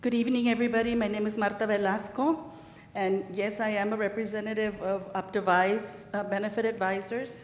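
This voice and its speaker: Amid noticeable background noise and audible room echo, a woman with an American accent talks at a fairly quick pace, her fairly high pitch held to fairly even intonation. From El Paso, Texas (Ysleta). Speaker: insurance benefits advisor. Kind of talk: sales presentation. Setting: city council meeting.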